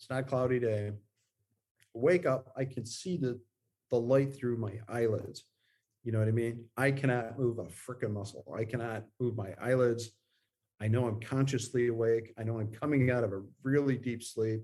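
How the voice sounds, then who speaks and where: At a moderate pace, a man talks in a medium pitch with a dark, mellow tone and fairly even intonation. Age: 50s. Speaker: guest. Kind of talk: interview. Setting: video call. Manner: halting.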